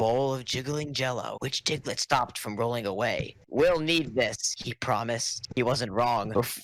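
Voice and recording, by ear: Ordinary pitch variation, plus reading aloud in a natural voice.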